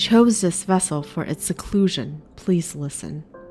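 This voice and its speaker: A put-on character voice, whiny and robotic, sits at a middle pitch and moves at a fairly slow pace. Music plays clearly in the background. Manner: urgent.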